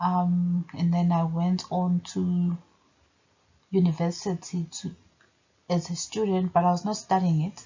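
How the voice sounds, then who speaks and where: A woman with a Zulu accent speaks at a fairly low pitch and a fairly slow pace, somewhat breathy. Her intonation is monotone and flat, with long, frequent pauses. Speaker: religion commentator. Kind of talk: video monologue.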